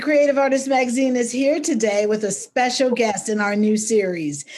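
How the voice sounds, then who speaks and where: Over noticeable background noise, a woman speaks quickly with lively intonation. Her pitch is high and her loudness very even. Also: hardly any pauses. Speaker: magazine interviewer host. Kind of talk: interview host talk.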